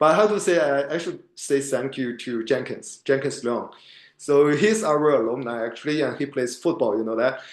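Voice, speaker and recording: A man with a non-native accent and medium pitch speaks at a moderate pace, with audible room echo. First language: not English. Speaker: MBA student. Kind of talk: podcast interview. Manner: halting.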